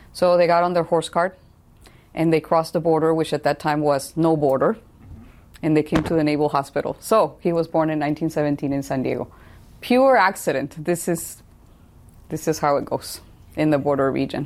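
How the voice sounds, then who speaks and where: With a very deep, low pitch, a woman speaks at a moderate pace, using ordinary pitch variation and long, frequent pauses. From Tijuana, Mexico. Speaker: engineering professor.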